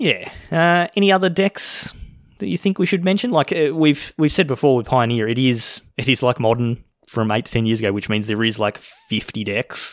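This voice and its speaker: With very wide pitch swings around a medium pitch, a man speaks at a moderate pace. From Australia. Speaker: podcast host. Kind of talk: casual chat.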